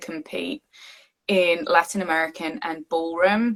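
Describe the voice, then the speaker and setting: A woman speaks with an English accent at a fairly low pitch. Her pace is fairly slow, with ordinary pitch variation. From England, Southeast London. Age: adult. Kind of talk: casual chat.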